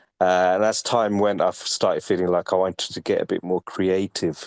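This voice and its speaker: This man speaks with an English accent at a moderate pace. The recording is very clean, with a silent background and a dry, close sound with no echo. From UK. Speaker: NFT collector and artist. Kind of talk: interview.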